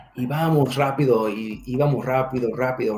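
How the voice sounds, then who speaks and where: A man with an English accent speaks at a fairly slow pace at a medium pitch, with ordinary pitch variation. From California, raised from toddler in US, born Mexico. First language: English (speaking Spanish). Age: young. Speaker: security manager and military veteran. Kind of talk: interview. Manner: halting.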